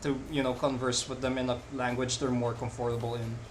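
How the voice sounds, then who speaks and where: A man with a Filipino accent, medium in pitch, at a moderate pace, with audible room echo and noticeable background noise. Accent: non-native Filipino accent, noticeable. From Philippines. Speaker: live-streaming digital artist. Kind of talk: casual chat while drawing on stream.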